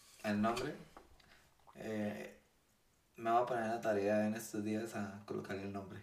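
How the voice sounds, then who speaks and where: Audible room echo around a man's fairly slow pace. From Colombia, Bucaramanga. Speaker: podcast guest. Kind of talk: casual chat.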